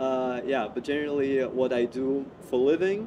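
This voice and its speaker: Noticeable background noise behind a man's fairly even, medium-pitched speech. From Russia, Moscow. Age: 20s. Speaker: HR project manager. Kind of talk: interview conversation. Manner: hesitant, many filler sounds.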